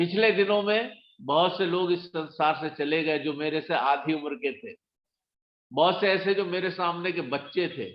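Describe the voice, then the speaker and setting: With ordinary pitch variation, a man's voice sits high in pitch. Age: 60s. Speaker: motivational speaker at network marketing meeting. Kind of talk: motivational talk. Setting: video call. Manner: animated.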